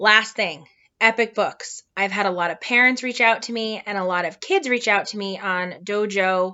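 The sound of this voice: Behind an unforced reading voice, the background stays quiet.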